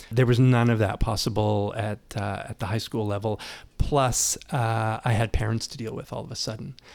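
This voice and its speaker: A man speaks with a Canadian accent at medium pitch and a moderate pace, his intonation fairly even. The recording is very clean with a silent background. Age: 60s. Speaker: university communications director. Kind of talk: interview. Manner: hesitant, many fillers and repetitions.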